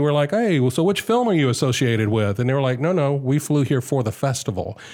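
A man with an American accent speaks at a fairly quick pace, his medium-pitched voice dark and mellow with ordinary pitch variation. The recording is very clean, with a silent background. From US South, Augusta, Georgia. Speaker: film festival organizer, former radio worker. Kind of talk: casual interview chat.

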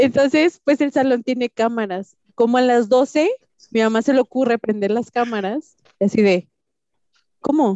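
A woman's high pitch comes with a dark, mellow tone, very even loudness, ordinary pitch variation and a fairly slow pace, recorded with a dry, close sound and no echo. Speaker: entrepreneur. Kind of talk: casual chat.

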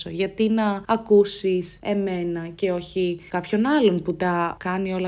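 A woman speaks at a fairly low pitch with monotone, flat intonation. The recording is very clean, with a silent background. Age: 20s. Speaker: student podcaster. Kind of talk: personal monologue podcast. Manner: talkative.

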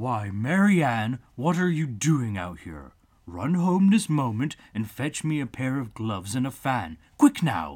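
In a put-on character voice, a man of medium pitch talks at a fairly slow pace. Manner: angry, impatient, bossy.

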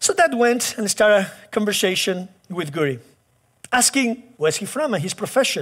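Speaking with a Spanish accent, a man with a high pitch talks at a moderate pace with very wide pitch swings on a very clean recording with a silent background. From Chile. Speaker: pastor. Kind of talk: sermon.

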